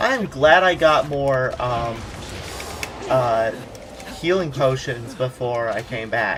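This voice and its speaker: The speech moves at a very slow pace, broken by long, frequent pauses. Noticeable background noise runs underneath. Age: 20s. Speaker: gaming guest. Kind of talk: casual chat.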